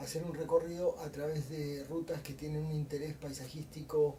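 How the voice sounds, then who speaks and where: Against noticeable background noise, a man speaks at a fairly high pitch and a moderate pace. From Argentina. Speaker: motorcycle traveler. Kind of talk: interview.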